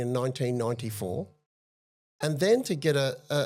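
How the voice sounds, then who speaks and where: A fairly high-pitched man with an Australian accent, at a moderate pace and with lively intonation, on a very clean recording with a silent background. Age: 60s. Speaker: advocate for institutional abuse survivors. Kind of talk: interview testimony.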